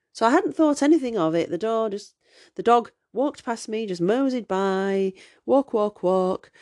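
A woman with a Yorkshire accent and fairly high pitch talks at a moderate pace. The sound is dry and close with no echo, over a quiet background. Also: lively intonation. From Yorkshire, northern England. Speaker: podcast host. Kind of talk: casual interview chat.

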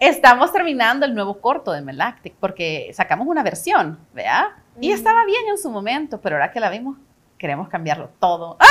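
Her pitch is high, and her voice swings very widely up and down. The woman talks at a fairly quick pace. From El Salvador. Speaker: actress and casting director. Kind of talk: casual interview chat.

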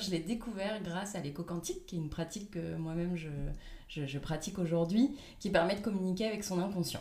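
Noticeable background noise and audible room echo surround a woman's voice. She speaks at a medium pitch with lively intonation. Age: 30s. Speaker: life coach. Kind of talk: interview.

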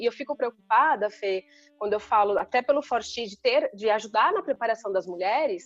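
The audio is dry and close, without any echo. A woman's speech moves at a fairly quick pace. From Brazil, São Paulo state interior (Sorocaba). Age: 40s. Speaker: IT executive and women's leadership mentor. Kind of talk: casual interview.

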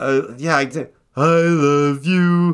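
A put-on character voice on a very clean recording with a silent background. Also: man. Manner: dopey, generic cartoon voice.

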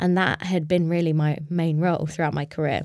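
A woman's fairly low, monotone voice with flat intonation in a London accent, at a fairly quick pace over a very clean, silent background. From London, England. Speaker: startup co-founder. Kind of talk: casual interview. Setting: studio, in person.

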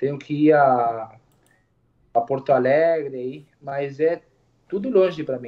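At a very slow pace with long, frequent pauses, a man speaks at a fairly high pitch, his loudness swinging a lot. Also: ordinary pitch variation. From Uruguay. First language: Spanish (speaking Portuguese). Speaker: barber. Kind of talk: casual interview chat.

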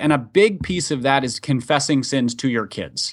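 Lively intonation marks this man's unremarkable speaking voice, which sits at a fairly high pitch. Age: 30s. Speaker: author and pastor's kid. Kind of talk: casual interview. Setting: remote call.

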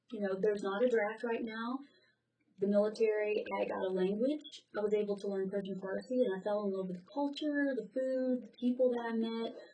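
With an American accent, a woman speaks fairly quickly at a fairly high pitch in a dark, mellow tone, with ordinary pitch variation and big swings in loudness. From US South. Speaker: graduate student and military veteran. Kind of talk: interview.

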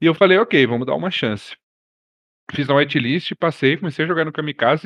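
Man with lively intonation. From Brazil, Brasília. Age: 30s. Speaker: roleplay streamer. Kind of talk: casual chat.

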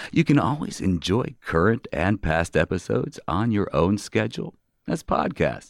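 Recorded very cleanly with a silent background and a dry, close sound with no echo, a man speaks fairly low with vocal fry and very wide pitch swings. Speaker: radio host. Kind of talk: radio interview. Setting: community radio studio.

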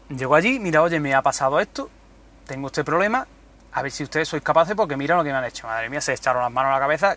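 A man's fairly high-pitched voice carries a bright, sharp tone. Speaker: podcaster. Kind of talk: casual monologue. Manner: animated.

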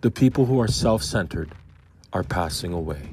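A man with a very deep, low pitch talks with lively intonation and a somewhat breathy sound. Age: 50s. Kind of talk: devotional Bible commentary. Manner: conversational.

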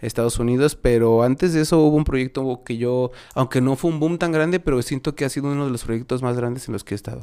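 In a Mexico City accent, a man speaks with a dark, mellow tone at a medium pitch with ordinary pitch variation. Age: 30s. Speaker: musician. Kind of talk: casual chat.

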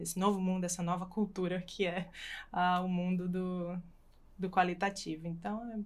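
A plain, everyday voice speaks at a fairly slow pace. The recording is very clean, with a silent background. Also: woman. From Brazil, Natal (Rio Grande do Norte). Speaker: physiotherapist and PhD researcher. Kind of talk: casual panel discussion.

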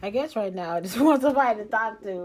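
In a relaxed tone, a woman's pitch swings very widely. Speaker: solo podcaster and singer. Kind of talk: casual solo monologue. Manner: low-energy, relaxed; halting with many fillers.

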